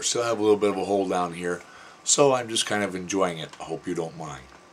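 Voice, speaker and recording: A man with fairly low pitch, an unremarkable speaking voice and ordinary pitch variation. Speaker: throat cancer survivor vlogger; military veteran. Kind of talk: personal testimony vlog.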